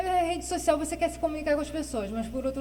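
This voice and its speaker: A woman talks at a very fast pace amid audible room echo and noticeable background noise. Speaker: guest with Parkinson's disease. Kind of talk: interview. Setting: studio.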